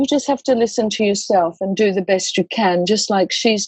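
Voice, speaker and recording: A woman with a normal speaking voice talks at a moderate pace with ordinary pitch variation, the sound dry and close with no echo. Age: 60s. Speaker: death doula and educator. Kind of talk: podcast interview.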